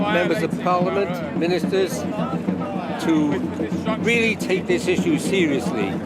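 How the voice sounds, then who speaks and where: Music plays in the background as a man speaks with a British accent. His pitch is high, with ordinary variation. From United Kingdom. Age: 80s+. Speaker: climate activist. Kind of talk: interview answer. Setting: outdoors.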